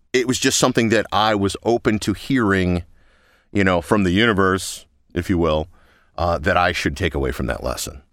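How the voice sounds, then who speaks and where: On a very clean recording with a silent background, a man speaks at a moderate pace with fairly low pitch, lively intonation and vocal fry. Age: 40s. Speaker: promo voice actor. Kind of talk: recorded interview.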